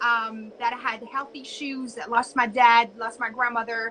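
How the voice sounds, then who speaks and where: A woman speaks with a French accent. Her pitch is high and her pace moderate. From France, suburb of Paris. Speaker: entrepreneur and business coach. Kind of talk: casual interview.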